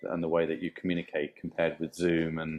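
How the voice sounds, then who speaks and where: A man speaks with a British accent. His pitch is very deep and low. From UK. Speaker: tech company chief architect. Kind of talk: interview. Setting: live in-person event. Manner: halting. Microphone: poor audio quality.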